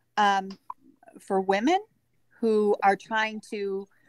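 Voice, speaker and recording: A woman's medium-pitched voice with fairly even intonation, in a dry, close sound with no echo. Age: 60s. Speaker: life coach, former counselor. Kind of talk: casual interview.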